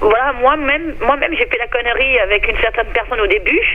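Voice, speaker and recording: A woman speaks at a moderate pace. Noticeable background noise fills the recording. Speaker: radio listener caller. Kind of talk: phone-in opinion. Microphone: too quiet, phone line.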